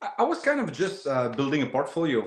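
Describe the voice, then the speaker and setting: A man speaks with a Quebec accent. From Quebec, Shawinigan. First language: French. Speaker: woodworker and wood turner. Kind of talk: casual interview chat. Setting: live video interview. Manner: hesitant, many fillers and repeats.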